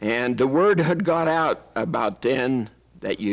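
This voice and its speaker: Lively intonation in a Western US accent. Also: man. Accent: American Western. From Arizona, USA. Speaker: WWII veteran, combat engineer. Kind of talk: interview answer.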